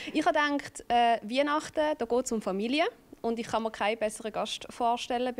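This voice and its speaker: Her pitch is fairly high, and she speaks at a fairly quick pace. This woman's voice shows ordinary pitch variation. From Switzerland. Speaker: talk show host. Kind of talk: TV talk show host intro. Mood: warm, friendly. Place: studio. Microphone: handheld.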